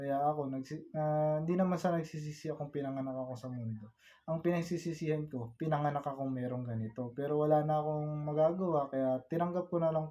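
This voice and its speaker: Speaking at a fairly quick pace, a man uses a fairly high pitch with fairly even intonation. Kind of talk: personal life story told to camera, vlog-style confessional about illness. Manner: soft-spoken, halting, earnest and polite with frequent 'po'.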